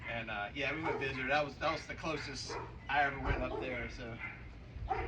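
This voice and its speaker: With an American accent, a man speaks at a moderate pace over noticeable background noise and audible room echo. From Louisiana, US South (Cajun, near Baton Rouge). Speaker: podcast guest. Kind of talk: casual chat.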